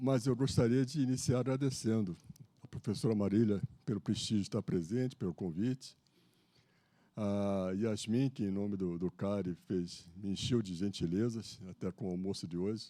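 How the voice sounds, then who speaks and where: A man's fairly low, dark, mellow voice at a moderate pace. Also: ordinary pitch variation. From Brazil, Rio de Janeiro. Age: 70s. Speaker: lecturer, retired naval officer. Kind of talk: lecture. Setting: stage with audience. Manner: casual, joking.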